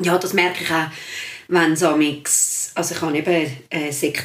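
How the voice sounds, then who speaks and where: A woman with a very deep, low pitch speaks at a moderate pace. Her intonation is fairly even, and the room echo is audible. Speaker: secondary school teacher. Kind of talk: casual chat.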